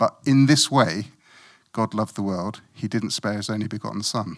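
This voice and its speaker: A man with a British accent talks at a moderate pace and medium pitch with ordinary pitch variation, in a very clean recording with a silent background and a dry, close sound without echo. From West Africa (Guinea-Bissau), moved to UK at twelve. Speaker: lay preacher. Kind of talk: sermon.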